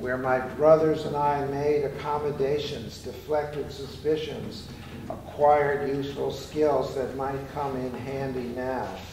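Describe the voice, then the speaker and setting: Amid noticeable background noise and audible room echo, a man talks in a fairly high voice with monotone, flat intonation. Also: fairly slow pace. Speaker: performance poet. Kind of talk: poetry reading. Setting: live library performance. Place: hall. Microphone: camera far.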